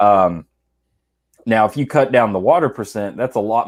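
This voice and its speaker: The recording is very clean, with a silent background. A man with a Southern US accent speaks at a fairly low pitch, with ordinary pitch variation. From US South, South Georgia. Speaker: whiskey enthusiast co-host. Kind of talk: casual chat.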